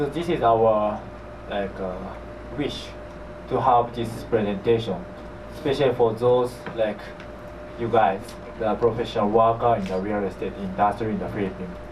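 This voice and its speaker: Amid noticeable background noise and audible room echo, a man with a Japanese accent and medium pitch speaks at a moderate pace with fairly even intonation and long, frequent pauses. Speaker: property manager, company executive. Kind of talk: seminar presentation. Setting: seminar with audience. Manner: halting.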